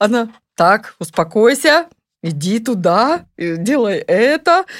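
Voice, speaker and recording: The sound is dry and close, with no echo. A woman speaks with very wide pitch swings. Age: old. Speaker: retired massage therapist, grandmother. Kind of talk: casual chat. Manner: hesitant, with filler sounds.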